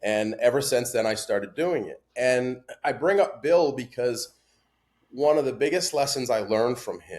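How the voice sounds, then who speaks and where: Ordinary pitch variation runs through speech delivered at a moderate speed. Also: man. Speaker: patient advocate. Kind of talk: podcast interview. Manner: loud.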